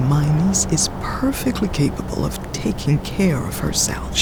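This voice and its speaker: Someone performs a put-on character voice over loud background noise. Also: moderate pace. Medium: audio drama. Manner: level, calm, honeyed crooning.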